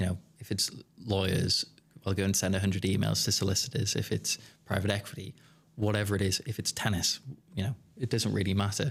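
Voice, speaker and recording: Talking very fast but with long, frequent pauses, a man with a slight Geordie accent speaks at a fairly low pitch with vocal fry and fairly even intonation. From northeast England, Newcastle. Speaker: business founder. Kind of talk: podcast interview. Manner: hesitant, many fillers.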